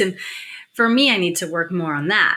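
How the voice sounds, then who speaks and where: Speaking at a moderate pace, a woman uses an animated delivery and a bright, sharp tone. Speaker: intuition coach and entrepreneur. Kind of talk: livestream chat with viewers. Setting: livestream.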